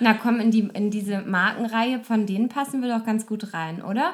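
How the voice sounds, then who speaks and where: At a fairly quick pace, a woman talks in a fairly high, somewhat breathy voice with ordinary pitch variation. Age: 30s. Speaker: podcaster. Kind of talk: casual chat.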